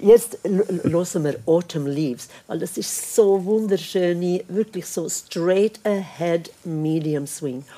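A woman with a fairly low voice speaks very slowly, with ordinary pitch variation. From Sweden. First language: Swedish (speaking German). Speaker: jazz singer and pianist. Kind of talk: casual chat. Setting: stage with audience.

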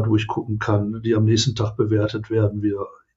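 A somewhat breathy man's voice at a fairly quick pace. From Ruhr area, Germany (Oberhausen). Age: 60s. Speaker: welfare association director. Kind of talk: interview conversation.

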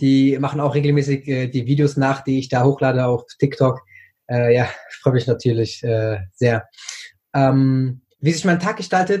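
In a dark, mellow tone, a man with a medium pitch and ordinary pitch variation speaks at a fairly slow pace. His voice is somewhat breathy. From Germany, Frankfurt am Main. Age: 20s. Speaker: TikTok creator. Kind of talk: interview. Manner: hesitant, many fillers.

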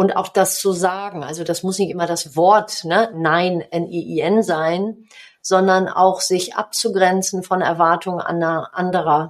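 Here a woman speaks at a very slow pace. Her intonation stays fairly even. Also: medium pitch for a woman. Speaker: business coach and author, former handball player. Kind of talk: podcast interview.

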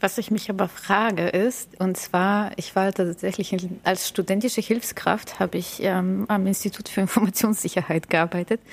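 This woman has a normal speaking voice at medium pitch, with fairly even intonation. She speaks with hardly any pauses. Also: moderate pace. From Bulgaria. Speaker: podcast host, agile coach. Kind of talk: casual chat.

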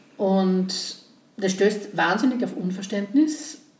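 A woman speaks with ordinary pitch variation in a room with audible echo. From Austria, Graz (Styria). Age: 50s. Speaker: podcast host, construction professional. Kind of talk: casual chat.

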